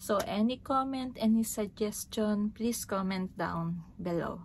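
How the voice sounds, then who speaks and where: A woman talks at a fairly slow pace with a somewhat breathy voice and fairly even intonation. Light background noise sits behind her. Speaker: vlogger. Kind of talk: casual vlog chat. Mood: cheerful, smiling. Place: home room. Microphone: phone near.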